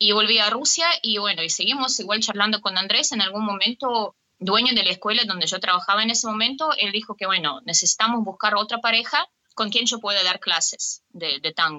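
With very even loudness, a woman speaks at a fairly quick pace in a fairly high pitch with lively intonation. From Russia. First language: Russian (speaking Spanish). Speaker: tango dancer and dance teacher. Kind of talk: interview.

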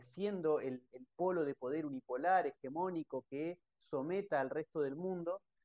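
In a dry, close sound with no echo, a man speaks at a fairly slow pace with a dark, mellow tone and ordinary pitch variation. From Argentina. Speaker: researcher and analyst. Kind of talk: interview.

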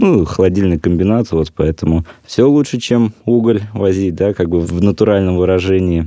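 With a very deep, low pitch and a dark, mellow tone, a man talks at very even loudness and with ordinary pitch variation. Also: moderate pace. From Russia, Kuzbass (Prokopyevsk). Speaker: civic activist, fathers' organization. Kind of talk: interview. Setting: studio.

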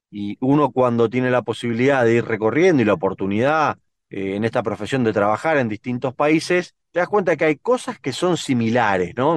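A man's medium-pitched voice, an ordinary speaking voice, at a fairly quick pace with lively intonation and hardly any pauses, in a dry, close sound with no echo over a quiet background. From Argentina. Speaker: political consultant and analyst. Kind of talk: interview.

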